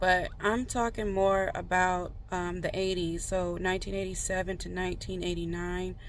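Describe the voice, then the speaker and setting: A woman at a moderate pace with hardly any pauses, audible room echo around her. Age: 30s. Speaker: tarot reader. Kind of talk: casual chat. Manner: halting.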